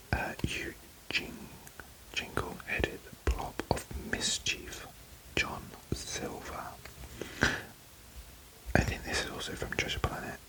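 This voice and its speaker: Whispering with a British accent, a man speaks at a very slow pace with long, frequent pauses over noticeable background noise. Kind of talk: ASMR card pack opening ramble. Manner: whispered.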